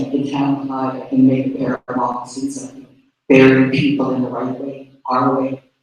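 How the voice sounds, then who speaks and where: Here a man speaks at a moderate pace. His pitch is fairly high. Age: 60s. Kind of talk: public meeting speech.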